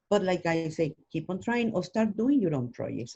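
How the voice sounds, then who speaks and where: A woman talks at a fairly quick pace with a non-native accent, her voice somewhat breathy. Her pitch swings very widely. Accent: foreign. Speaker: actress and voiceover artist. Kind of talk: interview.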